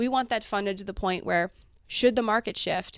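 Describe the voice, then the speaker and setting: Over a silent background, a woman talks fairly quickly. Her pitch varies in an ordinary way, and the recording is very clean. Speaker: financial advisor. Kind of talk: interview. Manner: fast.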